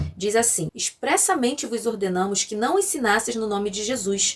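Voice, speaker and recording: Her pace is fairly quick. The woman's intonation is lively. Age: 30s. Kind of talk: scripted teaching with scripture reading. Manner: formal.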